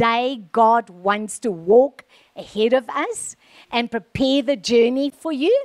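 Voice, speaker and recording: Against a quiet background, a woman speaks in a high voice. Her pace is very slow. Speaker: preacher. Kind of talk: sermon. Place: stage. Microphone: handheld.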